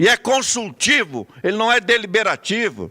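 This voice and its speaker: A man's bright, sharp tone in a dry, close sound with no echo. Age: 60s. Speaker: city councillor. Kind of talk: parliamentary speech.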